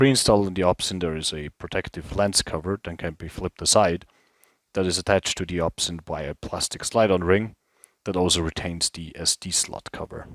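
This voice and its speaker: A man with a non-native accent speaks at a fairly quick pace with very deep, low pitch and fairly even intonation, in a very clean recording with a silent background and a dry, close sound with no echo. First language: not English. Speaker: product reviewer, former infantry soldier, airsoft player. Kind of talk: product review.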